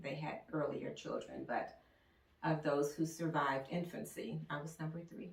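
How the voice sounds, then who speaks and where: A woman speaks at a moderate pace. Noticeable background noise and audible room echo surround her. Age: 70s. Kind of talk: life story interview.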